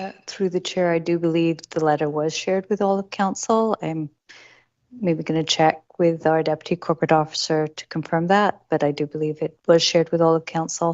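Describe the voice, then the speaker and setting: The voice is quiet, with fairly even intonation. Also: woman, fairly low pitch for a woman, moderate pace. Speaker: city staff official. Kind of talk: council meeting response. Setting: council meeting. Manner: formal.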